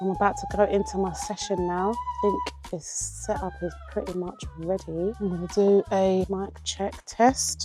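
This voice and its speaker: Music plays behind a woman who talks at a fairly slow pace with lively intonation. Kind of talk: vlog, casual talk to camera. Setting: home recording setup.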